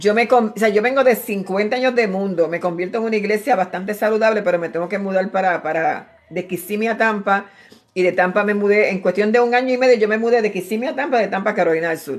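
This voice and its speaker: A woman speaks at a very fast pace. There are hardly any pauses. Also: medium pitch for a woman, ordinary pitch variation. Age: 60s. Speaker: preacher. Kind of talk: sermon. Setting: at home, live stream. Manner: animated.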